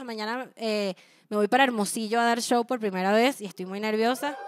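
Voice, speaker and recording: You can hear a woman speaking. She keeps a moderate pace. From Venezuela. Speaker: stand-up comedian. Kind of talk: stand-up comedy. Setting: small intimate apartment show with live audience. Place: home room. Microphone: handheld.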